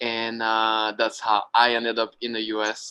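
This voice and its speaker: In a French accent, a man speaks at a medium pitch with a bright, sharp tone. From France, Brittany. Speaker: wing foil instructor. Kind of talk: interview. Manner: hesitant, many fillers.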